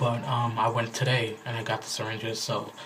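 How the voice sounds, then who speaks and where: A man's medium-pitched, flat monotone amid noticeable background noise and audible room echo. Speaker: vlogger. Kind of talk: casual video diary. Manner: casual, filler-heavy.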